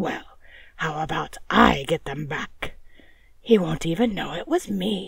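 A woman puts on a character voice with a fairly low pitch. She moves at a fairly slow pace with long, frequent pauses.

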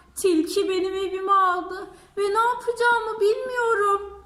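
A woman uses a put-on character voice at an extremely high pitch. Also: moderate pace. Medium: read story.

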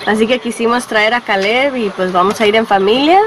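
A woman talks at a fairly quick pace. The sound is dry with no echo, and background noise is noticeable. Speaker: family vlogger. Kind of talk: casual vlog chat. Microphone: phone near.

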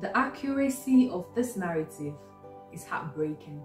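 With faint music in the background and audible room echo, a woman speaks very slowly using very wide pitch swings. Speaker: doctor. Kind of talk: spoken word poetry reading. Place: home room. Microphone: phone near.

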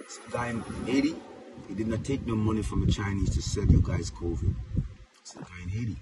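A man at a fairly quick pace, dry sound with no echo, over loud background noise. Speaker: commentator. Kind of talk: casual social media rant. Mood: critical, sarcastic. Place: car. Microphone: phone near.

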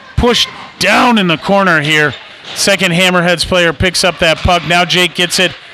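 There is noticeable background noise as a man speaks at a high pitch. His pace is moderate and his intonation fairly even. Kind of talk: live sports commentary.

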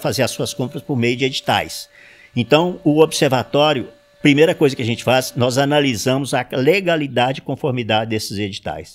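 Moderate in pace, a man is talking. His pitch shows ordinary variation. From Sete Lagoas, Minas Gerais, Brazil. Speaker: retired auditor, civic watchdog president. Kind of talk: interview. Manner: halting. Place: home room. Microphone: handheld.

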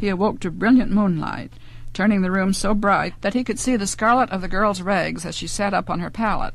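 With vocal fry and fairly even intonation, a woman speaks at a moderate pace in a dry recording with no echo. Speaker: author reading her own story. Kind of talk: audiobook narration of a fantasy story from a spoken word LP. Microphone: old recording.

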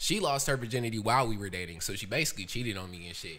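A man in an American accent with lively intonation at a very fast pace, light background noise behind him. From US South. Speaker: musician. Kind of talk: casual chat. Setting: video recording. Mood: relaxed, joking storytelling. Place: studio. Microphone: studio mic.

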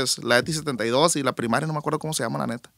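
A man talks at a very fast pace in a fairly high pitch. His tone is bright and sharp. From Culiacán, Sinaloa, Mexico. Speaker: musician, bassist and backing singer. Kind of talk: casual interview chat.

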